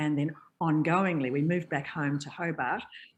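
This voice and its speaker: A woman speaks with an Australian accent. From Tasmania and north Queensland, Australia. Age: 70s. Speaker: voiceover artist. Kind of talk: interview.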